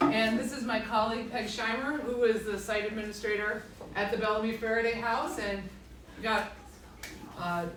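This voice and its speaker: With a fairly high pitch, a woman speaks at a moderate pace with long, frequent pauses. There is noticeable background noise and audible room echo. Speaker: historic site administrator. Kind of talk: public talk. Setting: library presentation to audience. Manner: loud. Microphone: speaking without the microphone.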